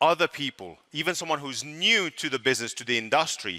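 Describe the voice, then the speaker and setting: Bright and sharp in tone with vocal fry, the voice moves at a moderate pace with lively intonation in a dry, close sound with no echo on a very clean recording with a silent background. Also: man. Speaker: network marketing presenter. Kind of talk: sales pitch. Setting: stage with audience.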